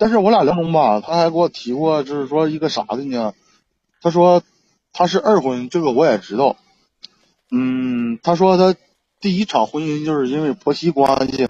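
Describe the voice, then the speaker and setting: Lively intonation broken by long, frequent pauses. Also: man, fairly high pitch for a man, moderate pace. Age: 30s. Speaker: caller seeking relationship advice. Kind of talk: call-in advice chat. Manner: halting. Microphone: laggy connection.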